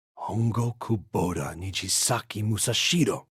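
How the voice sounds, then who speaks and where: A man growls in a put-on character voice at medium pitch and a moderate pace. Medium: video game. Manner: blunt, swearing.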